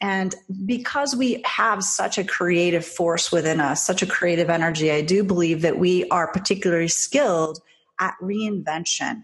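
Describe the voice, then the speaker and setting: A woman with an ordinary speaking voice talks at a moderate pace in a medium pitch, with ordinary pitch variation and very even loudness. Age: 50s. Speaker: social media marketing entrepreneur. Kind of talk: interview.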